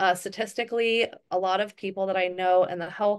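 A woman's medium-pitched voice over a quiet background. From Hawaii. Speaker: network marketing council member and call host; wellness business host. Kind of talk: group video call presentation. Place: home room. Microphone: webcam.

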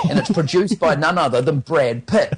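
This man talks at a fairly quick pace. His voice is somewhat breathy. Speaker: radio movie trailer reviewer. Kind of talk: radio film review segment. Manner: casual, chatty.

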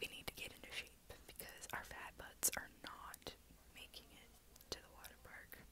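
At a moderate pace, a woman speaks in a whisper. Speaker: vlogger. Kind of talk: casual vlog chat. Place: home room. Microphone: earbuds.

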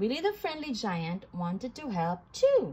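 At a fairly slow pace, a woman with a fairly high pitch talks in a dark, mellow tone with a slightly husky edge and big pitch swings.

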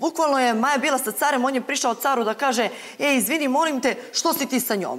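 Her voice is high-pitched with ordinary variation as this woman speaks at a fairly quick pace. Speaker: reality show contestant. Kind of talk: studio panel discussion. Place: studio. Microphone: lapel.

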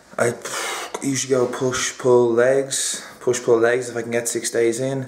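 Light background noise and audible room echo around a man's voice. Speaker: fitness vlogger. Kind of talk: casual vlog chat. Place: kitchen.

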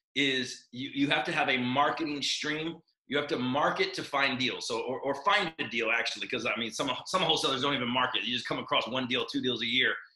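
A man talks at a fairly quick pace, and audible room echo follows his words. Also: ordinary pitch variation, quiet background. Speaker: podcast guest. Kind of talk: interview answer. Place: office. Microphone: video call.

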